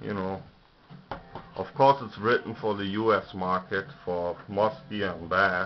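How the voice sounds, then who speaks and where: A man with a German accent, fairly low in pitch, ordinary pitch variation, a fairly slow pace, and noticeable background noise. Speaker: lure maker reviewing books. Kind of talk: casual video review. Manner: hesitant, many fillers.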